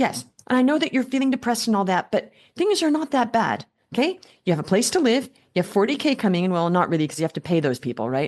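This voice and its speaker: Her voice is fairly high-pitched, with vocal fry and very wide pitch swings. The woman talks at a very fast pace against a quiet background. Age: 60s. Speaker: business coach. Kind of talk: coaching call.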